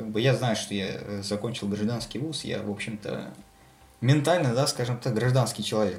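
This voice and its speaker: There is noticeable background noise as a man talks at a moderate pace. His pitch is medium, with ordinary pitch variation. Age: 20s. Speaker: military doctor. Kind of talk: casual chat. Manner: halting.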